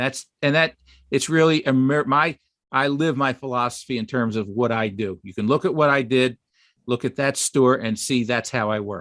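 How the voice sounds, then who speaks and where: The sound is dry and close with no echo, against a quiet background. A man with an ordinary speaking voice talks at a moderate pace, medium in pitch, with ordinary pitch variation. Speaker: web designer and online store owner. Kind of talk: webinar presentation.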